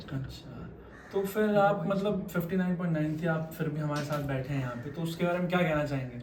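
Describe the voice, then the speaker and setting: Over noticeable background noise and audible room echo, a man speaks at a moderate pace in a fairly high voice. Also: ordinary pitch variation. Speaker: deck cadet, channel host. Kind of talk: interview.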